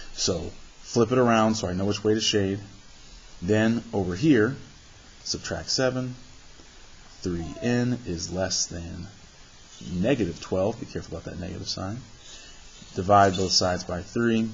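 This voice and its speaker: A man at a moderate pace with long, frequent pauses, ordinary pitch variation and noticeable background noise. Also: fairly low pitch for a man. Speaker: math teacher. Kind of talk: tutorial.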